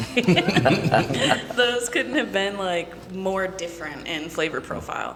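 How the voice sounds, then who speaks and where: A woman with an American accent at medium pitch, very slow yet with hardly any pauses, lively intonation, audible room echo and noticeable background noise. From Michigan. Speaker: whiskey brand representative. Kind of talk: casual chat.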